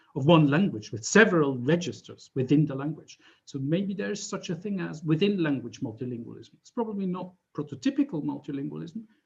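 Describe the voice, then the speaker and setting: A man speaks at a fairly quick pace with a Swiss German accent and lively intonation. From German-speaking Switzerland. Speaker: professor. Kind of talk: lecture. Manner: halting, many fillers.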